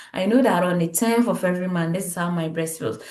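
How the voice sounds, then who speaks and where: The pitch varies in an ordinary way. Room echo is audible. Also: woman. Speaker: health educator. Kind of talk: tutorial.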